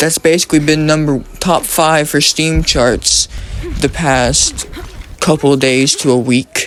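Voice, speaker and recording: Over music in the background, a man with a fairly high pitch talks at a fairly slow pace, with very even loudness and fairly even intonation. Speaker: gaming commentator. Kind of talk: casual commentary monologue. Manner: halting, stumbling.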